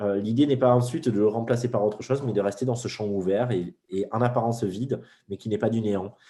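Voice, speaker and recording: With fairly even intonation, the man talks in a dark, mellow tone. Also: medium pitch for a man, fairly quick pace. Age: 40s. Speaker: spiritual teacher. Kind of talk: interview. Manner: fast.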